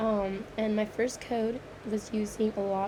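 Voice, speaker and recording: A woman speaks very slowly in a fairly high voice while noticeable background noise continues. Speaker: computer science student. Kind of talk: screen-recorded code walkthrough. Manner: hesitant, many fillers.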